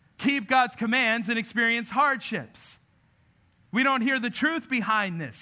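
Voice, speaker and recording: At a moderate pace, a man uses a raised, projected voice with a bright, sharp tone. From grew up in a city, not local. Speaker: pastor. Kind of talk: sermon. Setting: church with audience.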